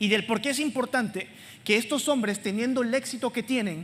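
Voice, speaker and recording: Her voice is pitched high for a woman. She varies her pitch in an ordinary way. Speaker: preacher. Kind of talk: sermon. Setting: church with congregation.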